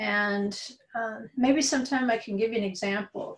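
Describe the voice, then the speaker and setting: A woman speaks at a fairly slow pace in a somewhat breathy voice. Her pitch variation is ordinary. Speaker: religious study teacher. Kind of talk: lecture. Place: home room. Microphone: webcam.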